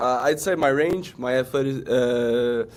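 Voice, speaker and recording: Noticeable background noise sits under the recording. The speaker is a man with a medium pitch. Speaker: pro football player. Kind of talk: interview. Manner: halting.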